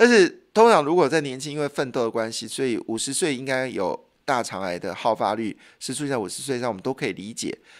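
Against a quiet background, a man talks at a very fast pace and medium pitch, with lively intonation and big swings in loudness. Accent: Taiwanese. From Taiwan. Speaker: radio host. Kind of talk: radio health and news talk monologue. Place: studio. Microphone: studio mic.

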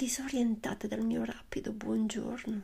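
A woman's voice at a very slow pace. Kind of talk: poetry reading. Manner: soft-spoken.

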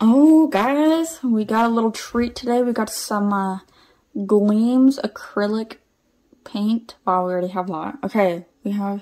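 A woman speaks in a dark, mellow tone at a fairly slow pace. Her pitch variation is ordinary, and the background is quiet. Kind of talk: casual vlog chat. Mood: playful, amused. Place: home room. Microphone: phone near.

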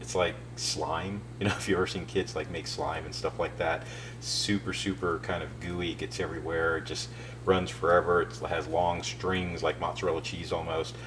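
A man's very deep, low voice at a fairly quick pace, with very wide pitch swings and noticeable background noise. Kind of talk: tutorial. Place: kitchen. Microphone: camera far.

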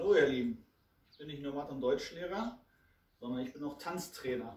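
Lively male intonation with audible room echo. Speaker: teacher, dance trainer. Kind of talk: tutorial. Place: empty room. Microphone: camera far.

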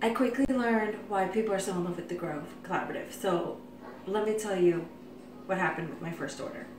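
At a fairly quick pace, a woman speaks with ordinary pitch variation amid audible room echo and noticeable background noise. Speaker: vlogger. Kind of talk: casual vlog chat. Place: kitchen. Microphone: phone near.

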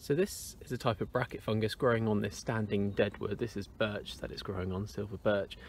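Against light background noise, a man talks at a fairly low pitch with fairly even intonation. He has an unremarkable speaking voice, and the sound is dry with no echo. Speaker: nature walk guide. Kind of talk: casual nature walk commentary. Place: forest. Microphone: phone near.

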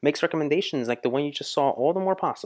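In a quiet background, the man speaks very fast, his pitch varying in an ordinary way. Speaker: music reaction youtuber. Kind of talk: casual reaction commentary. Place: studio. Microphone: studio mic.

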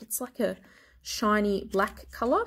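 Her voice is somewhat breathy and fairly high, and the woman speaks at a fairly slow pace. The recording is very clean, with a silent background. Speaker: beauty vlogger. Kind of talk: product collection show-and-tell. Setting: at home.

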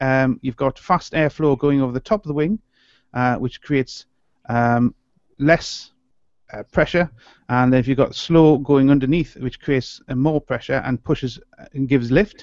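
Long, frequent pauses mark a man's moderate-paced speech. His pitch varies in an ordinary way, and the sound is dry with no echo. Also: quiet background. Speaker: podcast co-host. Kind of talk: explanatory commentary. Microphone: video call.

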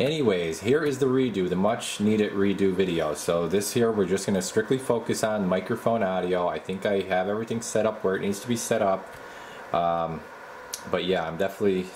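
Against light background noise, a man with an ordinary speaking voice talks at a fairly quick pace, fairly low in pitch with ordinary pitch variation. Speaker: radio equipment reviewer. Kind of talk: casual tutorial commentary. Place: workshop. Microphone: phone near.

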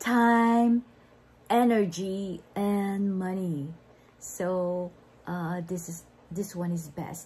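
Very slowly, with long, frequent pauses, a woman speaks in a dark, mellow tone. Her voice is somewhat breathy, with ordinary pitch variation. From Philippines. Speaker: online entrepreneur; online business vlogger. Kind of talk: livestream sales talk; casual vlog chat. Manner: hesitant, many fillers. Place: home room. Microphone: phone near.

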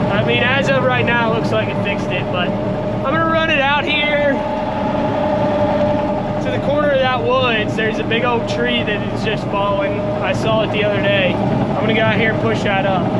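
A man talking at a moderate pace, with loud background noise. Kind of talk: casual vlog chat. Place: farm machine. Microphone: phone near.

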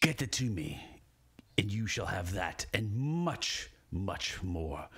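A man puts on a rumbling character voice at a medium pitch. He delivers it at a fairly slow pace. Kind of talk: game master voicing a villain. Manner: temperamental, menacing.

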